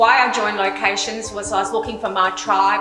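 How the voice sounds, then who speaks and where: A woman speaking at a fairly quick pace with ordinary pitch variation, clear music in the background. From Australia, Queensland. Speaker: real estate sales specialist and auctioneer. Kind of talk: promotional interview answer to camera. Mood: warm, pleased. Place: kitchen.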